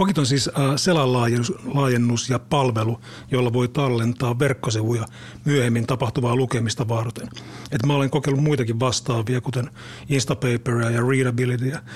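The voice is somewhat breathy, with very even loudness and fairly even intonation. The pace is moderate. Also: man, medium pitch for a man. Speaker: podcast co-host. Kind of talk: casual chat.

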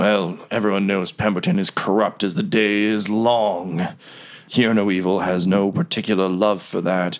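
A man speaks at a moderate pace in a put-on character voice. His pitch is fairly low. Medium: actual play. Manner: compelled, answering plainly.

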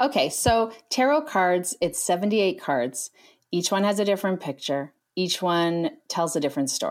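In a very clean recording with a silent background, a woman of medium pitch speaks at a fairly slow pace with very even loudness and very wide pitch swings. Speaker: tarot card reader. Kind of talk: casual chat.

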